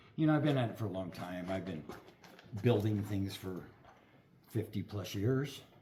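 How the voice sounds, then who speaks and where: A man's somewhat breathy voice with a dark, mellow tone, lively intonation and a moderate pace. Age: 60s. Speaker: metal fabricator. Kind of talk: product unboxing.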